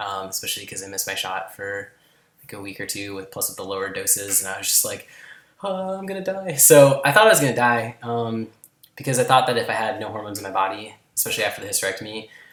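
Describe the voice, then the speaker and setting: A man at a very fast pace, with big swings in loudness. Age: 20s. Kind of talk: casual vlog talk to camera.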